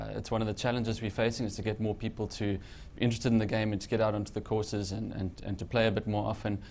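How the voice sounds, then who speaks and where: With vocal fry and a fairly low pitch, a man speaks in a monotone, flat way at a very fast pace with hardly any pauses. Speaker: golf magazine editor. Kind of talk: casual chat. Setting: studio.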